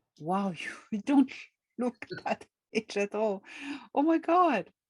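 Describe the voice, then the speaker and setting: A woman speaks very slowly in a fairly high, somewhat breathy voice with very wide pitch swings, recorded dry and close with no echo. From France. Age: 50s. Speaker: author and contactee. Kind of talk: interview.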